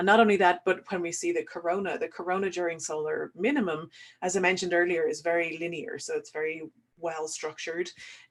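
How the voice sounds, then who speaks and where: Speaking very fast, a woman with an Irish accent keeps her intonation fairly even. Her pitch sits fairly low. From Ireland. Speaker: solar physicist. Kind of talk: online webinar Q&A, explaining science. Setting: webinar.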